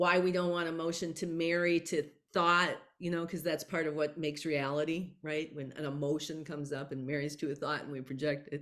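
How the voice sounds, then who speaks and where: On a very clean recording with a silent background, a woman with a very deep, low pitch speaks at a fairly quick pace in a monotone, flat intonation. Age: 60s. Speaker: author and psychic channel. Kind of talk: interview conversation.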